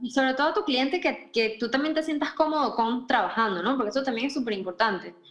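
Over music in the background, the speaker races along at a very fast pace with lively intonation and hardly any pauses. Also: woman, high pitch for a woman. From Venezuela, Caracas. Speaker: wedding photographer. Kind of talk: interview. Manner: animated.

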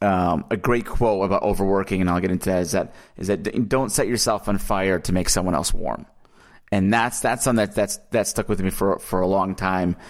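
A man with an ordinary speaking voice talks at a fairly quick pace with fairly low pitch and ordinary pitch variation. His loudness is very even, on a very clean recording with a silent background. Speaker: author and ghostwriter. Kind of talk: casual podcast interview. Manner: warm, personable.

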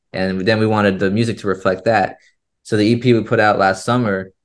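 Against a quiet background, a man with an American accent speaks at a moderate pace in a fairly low pitch with fairly even intonation. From Florida, US. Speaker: touring band musician. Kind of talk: casual interview.

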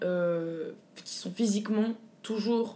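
At a very slow pace, a woman speaks with fairly even intonation and a dark, mellow tone. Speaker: drag king performer. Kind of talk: interview. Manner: halting, many hesitations.

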